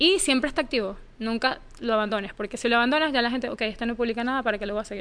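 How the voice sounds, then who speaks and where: Over a quiet background, a woman with a high pitch talks at a very fast pace with ordinary pitch variation. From Venezuela. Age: 30s. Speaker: journalist. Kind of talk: interview.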